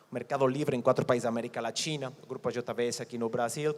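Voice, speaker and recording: In a Mexican accent, a man talks at a fairly quick pace with monotone, flat intonation. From Mexico. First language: Spanish (speaking Portuguese). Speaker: company executive. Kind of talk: conference presentation. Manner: halting, with repetitions.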